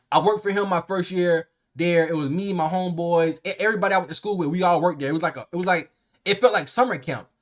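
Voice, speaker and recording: A man with a high pitch talks at a very fast pace in an animated, excited tone. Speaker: YouTuber and streamer. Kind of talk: story time vlog. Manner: halting, many fillers.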